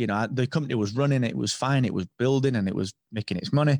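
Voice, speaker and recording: With ordinary pitch variation and a medium pitch, a man is heard on a very clean recording against a silent background. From England. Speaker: podcast software founder. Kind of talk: interview.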